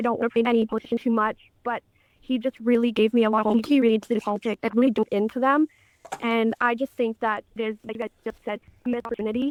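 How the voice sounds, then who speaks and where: A woman's fairly high, monotone, flat voice at a very fast pace, in a dry, close sound with no echo. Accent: Canadian. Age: 20s. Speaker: caller. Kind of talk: call-in opinion.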